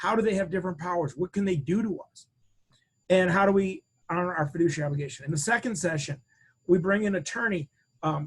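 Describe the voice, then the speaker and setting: Using ordinary pitch variation, a man speaks very fast at a high pitch. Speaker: financial planning educator. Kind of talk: webinar product demo presentation.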